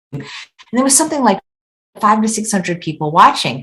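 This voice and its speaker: Somewhat breathy, a woman talks at a very fast pace with lively intonation. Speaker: chef and weight loss author. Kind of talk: interview. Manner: casual, with many false starts.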